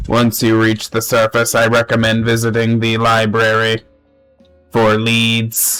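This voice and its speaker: A put-on character voice at a fairly slow pace, monotone and flat, over faint music in the background. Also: man, medium pitch for a man. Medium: solo performance. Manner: formal, solemn.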